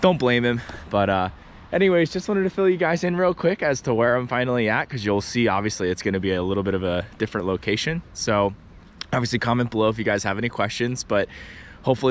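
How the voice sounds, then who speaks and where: Lively intonation marks a man talking at a very fast pace. The sound is dry with no echo, with light background noise. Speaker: fishing vlogger. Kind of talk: casual vlog chat. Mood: upbeat, friendly. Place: street. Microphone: phone near.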